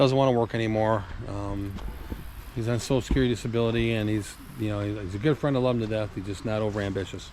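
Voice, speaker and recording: Noticeable background noise sits under this recording. The talking is very fast, and the intonation stays fairly even. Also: man, fairly low pitch for a man. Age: 60s. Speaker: classic car collector and mechanic vlogger. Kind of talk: casual vlog talk to camera. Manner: rambling, filler-heavy (uh, um).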